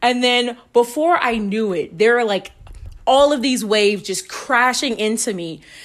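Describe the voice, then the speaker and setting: In a very clean recording with a silent background, a woman with a high voice speaks at a moderate pace in an animated tone with ordinary pitch variation. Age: 20s. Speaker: solo podcast host. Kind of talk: personal storytelling.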